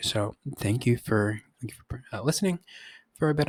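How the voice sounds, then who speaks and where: Somewhat breathy speech comes at a fairly quick pace with ordinary pitch variation, in a dry, close sound with no echo. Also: man. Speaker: high school physics teacher. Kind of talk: recorded course overview. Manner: halting, many fillers.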